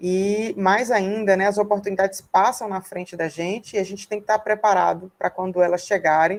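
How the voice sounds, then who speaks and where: Hardly pausing, a woman talks at medium pitch. Her intonation is monotone and flat. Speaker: researcher and invited speaker. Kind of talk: seminar talk about career path. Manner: fast.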